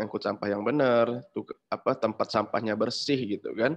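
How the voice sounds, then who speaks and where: Ordinary pitch movement from a man talking at a middling speed. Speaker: startup founder; webinar presenter. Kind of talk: webinar presentation. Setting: video call. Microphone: video call.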